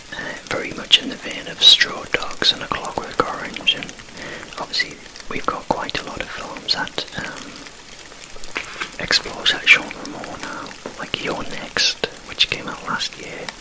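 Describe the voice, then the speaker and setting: Whispering with long, frequent pauses, the voice sits over noticeable background noise. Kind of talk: casual whispered chat about films. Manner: whispered, soft-spoken.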